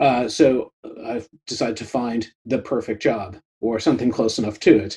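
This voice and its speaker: With an American accent, a man speaks in a dark, mellow tone that is somewhat breathy, his intonation fairly even. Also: medium pitch for a man, moderate pace. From New York, US. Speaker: product consultant and podcast host. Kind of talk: interview conversation. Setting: video call.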